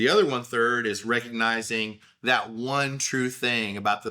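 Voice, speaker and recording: A man speaks at medium pitch and a moderate pace, with an Oklahoma accent. His tone is bright and sharp, and his pitch varies in an ordinary way. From Oklahoma, US. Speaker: podcaster. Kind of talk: casual monologue. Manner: conversational with fillers.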